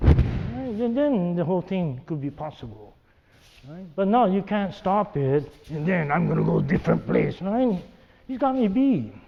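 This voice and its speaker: Pitched high for a man, this male speaker moves at a moderate pace with very wide pitch swings, and noticeable background noise runs underneath. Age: 70s. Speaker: aikido teacher. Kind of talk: demonstration lecture. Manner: repeats 'right?' constantly.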